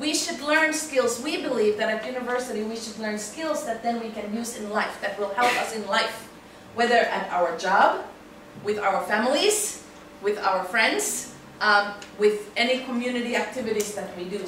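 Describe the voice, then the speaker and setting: The recording has noticeable background noise and audible room echo. A woman speaks in a fairly high pitch. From Finland. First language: Finnish. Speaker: university English teacher. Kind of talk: lecture. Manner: frequent filler um.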